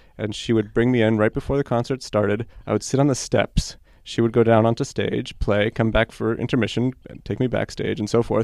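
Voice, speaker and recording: A man with an American accent speaks at a fairly quick pace and medium pitch, his intonation monotone and flat. The sound is dry and close with no echo, over a quiet background. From New York City. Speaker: orchestra conductor. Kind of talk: interview.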